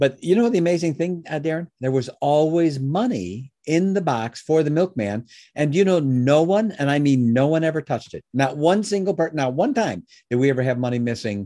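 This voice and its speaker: Against a quiet background, a man with a Chicago accent and a fairly high voice talks at a fairly quick pace with lively intonation. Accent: Chicago American. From US Midwest, Chicago. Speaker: business founder and educator. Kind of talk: interview.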